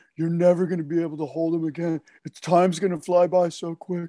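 A put-on character voice rattles along at a very fast pace in a monotone, flat intonation, the sound dry and close with no echo. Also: man, high pitch for a man. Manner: mocking, sarcastic.

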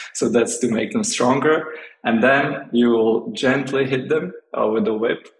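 A man with a Slovak accent speaks at a medium pitch and a moderate pace. His pitch swings very widely. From Slovakia. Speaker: interview guest sharing home tradition. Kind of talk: casual interview. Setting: California. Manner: halting, many fillers and repeats.

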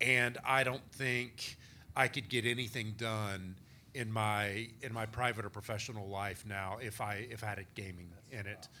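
Audible room echo surrounds a man speaking with a Texan accent in a fairly low pitch and a bright, sharp tone. He keeps a moderate pace and fairly even intonation. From small-town Texas. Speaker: author and historian of spirit communication. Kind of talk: live panel discussion. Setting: stage with audience.

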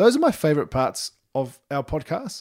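Recorded very cleanly against a silent background, a man speaks with a New Zealand accent. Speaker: parenting podcast co-host. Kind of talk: casual chat. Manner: animated, laughing often.

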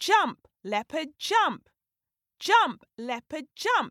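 A woman speaks in a put-on character voice, high-pitched and very slow, with big pitch swings and a dry, close sound with no echo. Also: fairly bright tone.

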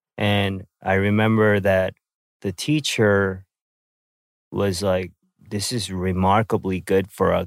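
In a very clean, dry, close recording with no echo and a silent background, a man with a Korean accent speaks very slowly in a very deep, low pitch. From South Korea, then Vancouver, Canada. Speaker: podcast host and rapper. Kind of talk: casual chat. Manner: hesitant, many fillers.

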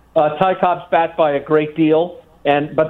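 A man speaks with a New York accent. His pitch is fairly high. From New York City (Bronx). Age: 60s. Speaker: sports memorabilia collector. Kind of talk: radio interview.

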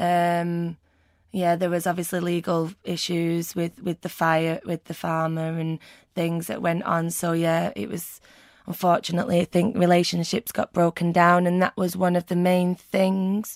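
A woman's fairly low voice in a Mancunian accent, fairly slow with fairly even intonation, on a very clean recording with a silent background and a dry, close sound with no echo. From Manchester, England. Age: 30s. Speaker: burn survivor. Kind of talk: personal testimony interview.

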